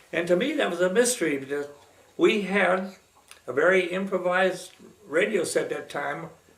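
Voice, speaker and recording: Amid noticeable background noise and audible room echo, a man speaks at a moderate pace in a high pitch. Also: ordinary pitch variation. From Pennsylvania, Pittsburgh. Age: 90s. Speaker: retired radio man telling life stories. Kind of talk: personal reminiscence. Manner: halting, with many fillers.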